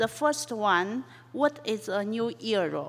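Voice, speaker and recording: Speaking very slowly, a woman has a Chinese accent. Her pitch sits fairly high. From China. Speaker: professor. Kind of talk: lecture. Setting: conference hall.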